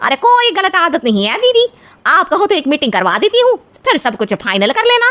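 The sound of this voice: In a cartoonish character voice with very wide pitch swings, the speaker moves at a fairly quick pace, the sound dry and close with no echo. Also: woman, extremely high pitch for a woman.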